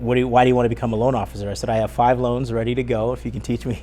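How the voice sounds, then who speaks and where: A man talks at a very fast pace with an American accent over noticeable background noise. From Northern California. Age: 40s. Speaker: mortgage broker. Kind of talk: interview.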